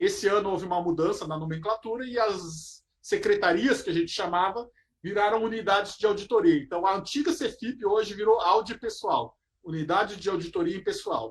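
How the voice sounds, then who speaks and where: A man's high voice moves with lively intonation. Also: moderate pace. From southern Brazil, Porto Alegre. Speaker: federal auditor. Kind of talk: lecture.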